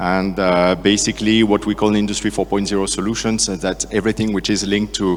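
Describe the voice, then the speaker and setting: Very fast, monotone speech with flat intonation in a French accent, over noticeable background noise. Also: man. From France. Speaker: sales and marketing director. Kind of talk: conference talk. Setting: stage with audience. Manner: hesitant, many fillers.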